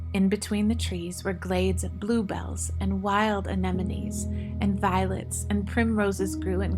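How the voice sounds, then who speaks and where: With music playing behind her, a woman talks fairly slowly in a very deep, low voice and a flat, monotone delivery. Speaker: audiobook narrator. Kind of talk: audiobook narration of a story.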